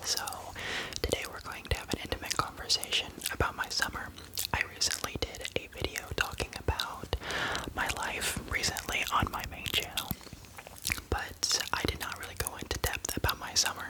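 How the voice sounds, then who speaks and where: A man whispers with long, frequent pauses against noticeable background noise. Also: moderate pace. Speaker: ASMR creator. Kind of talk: ASMR whisper ramble to camera. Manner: whispered, intimate, soft-spoken.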